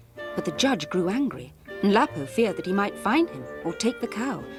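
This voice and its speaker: A moderate pace of speech with music in the background. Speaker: storyteller. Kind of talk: children's story narration.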